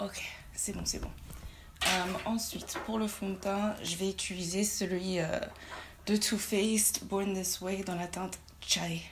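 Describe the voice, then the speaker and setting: A woman's medium-pitched voice, very slow and flat in a monotone, with long, frequent pauses, audible room echo and noticeable background noise. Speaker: beauty youtuber. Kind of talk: makeup tutorial. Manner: hesitant, with many fillers.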